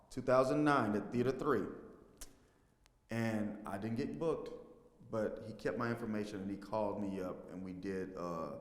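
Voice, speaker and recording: A man with a fairly low pitch speaks with ordinary pitch variation and long, frequent pauses. Room echo is audible. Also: moderate pace. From Texas, Fort Worth. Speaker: stage actor and filmmaker. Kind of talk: interview.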